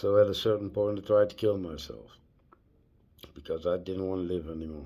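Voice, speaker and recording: Very deep and low, a man's voice has a dark, mellow tone and ordinary pitch variation. His loudness swings a lot. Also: fairly quick pace. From Netherlands. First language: Dutch. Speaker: vlogger. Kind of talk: personal storytelling vlog. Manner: halting.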